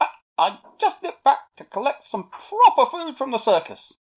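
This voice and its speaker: A man puts on a squeaky character voice with an extremely high pitch, very wide pitch swings and a moderate pace. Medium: read story. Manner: matter-of-fact.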